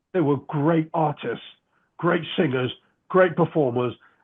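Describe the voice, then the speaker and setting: A fairly high-pitched man speaks with lively intonation. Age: 60s. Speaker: magician. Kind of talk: interview storytelling. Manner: animated.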